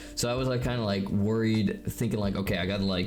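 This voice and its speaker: A man's fairly low voice with ordinary pitch variation, audible room echo and music in the background. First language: not English (fictional persona language; speaks Dutch most). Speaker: streamer. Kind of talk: casual chat. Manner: hesitant, filler-heavy.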